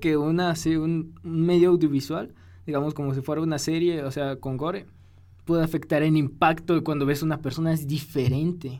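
At a moderate pace, a man talks with a dark, mellow tone, a fairly high pitch, and ordinary pitch variation. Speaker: podcast co-host. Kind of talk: casual chat.

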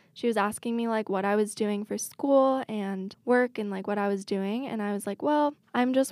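A plain, everyday voice from a woman with an American accent, medium in pitch, at a moderate pace with fairly even intonation, in a very clean recording with a silent background and a dry, close sound with no echo. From Washington state, US. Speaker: social media manager and winery worker. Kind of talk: casual chat.

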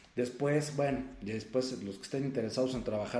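Audible room echo surrounds a man speaking at a moderate pace in a dark, mellow tone with ordinary pitch variation. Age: 40s. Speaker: self-help coach and podcast host. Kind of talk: solo motivational talk. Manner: conversational with many filler words.

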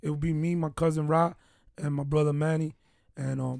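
Someone speaks with an American accent and a fairly even intonation. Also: man. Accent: Dominican-tinged New York. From Bronx, New York, Dominican background. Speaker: podcast co-host, police detective. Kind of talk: casual chat.

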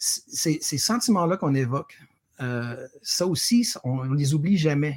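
A man's somewhat breathy, fairly high voice with a Quebec accent and lively intonation. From Quebec, Sherbrooke. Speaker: award-winning teacher. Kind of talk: interview. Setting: pre-recorded remote interview.

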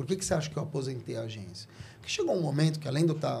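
The voice has vocal fry and ordinary pitch variation, with audible room echo. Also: man. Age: 50s. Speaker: communication strategist and speaker. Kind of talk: casual interview.

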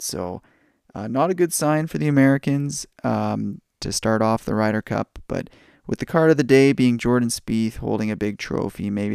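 A man with a Canadian accent speaks in an ordinary speaking voice at a medium pitch, with lively intonation. The recording is very clean, with a silent background and a dry, close sound with no echo. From Canada. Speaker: podcast host, card collector. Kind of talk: casual podcast talk. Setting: home recording at night.

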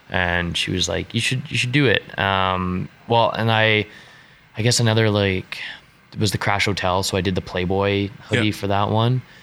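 At a moderate pace, a man with a western Canadian accent speaks with fairly even intonation. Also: fairly low pitch for a man. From western Canada (British Columbia, Alberta). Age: young. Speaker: street artist and clothing designer. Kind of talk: casual interview chat.

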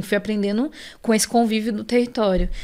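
A normal speaking voice goes at a fairly quick pace with fairly even intonation. The recording is very clean, with a silent background. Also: woman. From Brazil, São Paulo South Zone. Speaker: illustrator. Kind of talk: casual interview.

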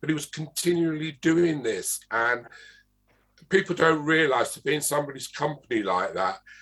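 With an English accent, this man speaks at a fairly high pitch. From England, London. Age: old. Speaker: interviewer, arts organization director. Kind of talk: interview. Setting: video call.

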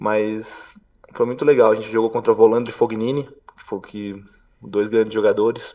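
Speaking at a moderate pace, a man takes long, frequent pauses, with big swings in loudness. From Santa Catarina, Brazil (Brusque). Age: 30s. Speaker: professional beach tennis player. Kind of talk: interview. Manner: hesitant, many fillers.

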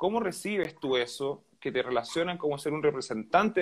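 A man with a Chilean accent and lively intonation, at a moderate pace. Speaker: interviewer. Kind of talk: interview.

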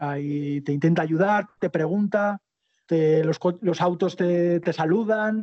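Ordinary pitch variation in a man's high-pitched voice. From Spain, Zaragoza (Aragon). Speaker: long-distance cycle traveller and author. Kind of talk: interview. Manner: halting, frequent repetitions.

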